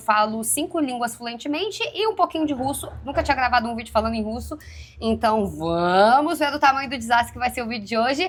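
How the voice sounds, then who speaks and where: A woman's high, lively voice with a slight Minas Gerais accent, fairly quick with hardly any pauses, over noticeable background noise. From Minas Gerais, Brazil. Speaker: youtuber. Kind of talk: casual multilingual vlog. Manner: hesitant, many fillers in foreign languages.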